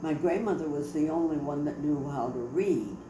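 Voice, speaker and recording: In an American accent, a woman speaks with a very deep, low pitch and fairly even intonation, amid audible room echo and noticeable background noise. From Detroit, US Midwest. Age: 90s. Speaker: family storyteller. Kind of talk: oral history interview. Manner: halting.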